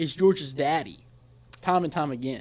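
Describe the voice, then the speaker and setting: An animated male voice in a very clean recording with a silent background. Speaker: college football podcast host. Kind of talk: casual chat. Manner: fast.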